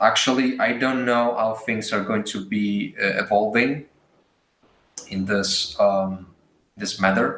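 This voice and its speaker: Very slow pace from a man at medium pitch, fairly even intonation and audible room echo. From Italy. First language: Italian. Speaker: artist and art teacher. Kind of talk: live drawing demo. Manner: hesitant.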